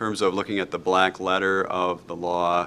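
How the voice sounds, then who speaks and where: A man with a Wisconsin accent, very deep and low in pitch, bright and sharp in tone, flat and monotone, at a moderate pace. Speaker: law instructor. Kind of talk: lecture. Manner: frequent fillers and hesitations.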